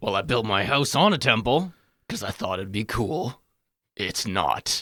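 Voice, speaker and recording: A man's raspy, put-on character voice at medium pitch, with very wide pitch swings, a moderate pace, and a very clean recording over a silent background. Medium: actual play. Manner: curt, grumpy, deadpan.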